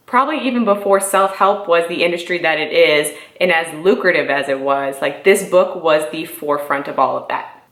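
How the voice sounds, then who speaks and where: Amid noticeable background noise and audible room echo, a woman talks at a fairly quick pace with hardly any pauses, her fairly low voice animated and showing ordinary pitch variation. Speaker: YouTuber, real estate entrepreneur. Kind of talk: casual vlog book review. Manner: fast.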